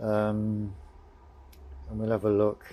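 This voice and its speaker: A man with a British accent speaks at a very slow pace. His voice has a fairly low pitch and a dark, mellow tone. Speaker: motorcycle mechanic vlogger. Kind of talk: tutorial. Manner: monotone; formal.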